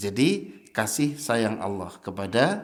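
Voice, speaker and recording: A man's medium-pitched voice with very wide pitch swings, delivered very slowly, with audible room echo. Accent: strong Javanese. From Java, Indonesia. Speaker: Islamic preacher. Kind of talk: sermon. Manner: animated.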